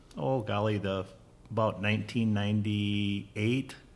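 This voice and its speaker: An American accent comes through. The delivery is fairly slow. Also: man. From US Midwest (Minnesota). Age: 60s. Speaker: farmer. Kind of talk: casual chat.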